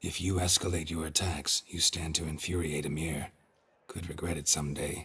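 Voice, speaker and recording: In a put-on character voice, a man speaks raspy and very deep, low-pitched at a moderate pace. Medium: video game. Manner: terse, dry.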